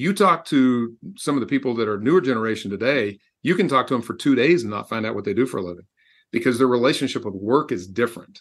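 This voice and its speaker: Against a quiet background, a man talks very fast at a medium pitch with lively intonation. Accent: American. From Texas. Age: 60s. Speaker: executive coach and author. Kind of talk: interview.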